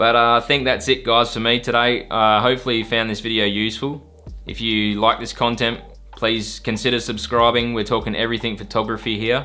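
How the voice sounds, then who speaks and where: A man's fairly quick, monotone, flat delivery with an Australian accent. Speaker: photography YouTuber. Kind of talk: tutorial. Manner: casual.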